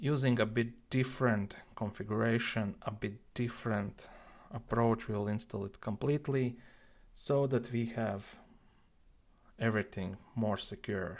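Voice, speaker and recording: A man with an unremarkable speaking voice talks at a medium pitch and a fairly slow pace. His intonation is fairly even. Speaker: IT tutorial creator. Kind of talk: screen-recorded tech tutorial. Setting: built-in device microphone.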